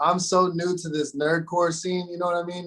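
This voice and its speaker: A man speaks in an unremarkable speaking voice with an American accent. His pitch is fairly high and his pace moderate. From Arizona. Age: 30s. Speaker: rapper. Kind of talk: casual chat. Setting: recording studio.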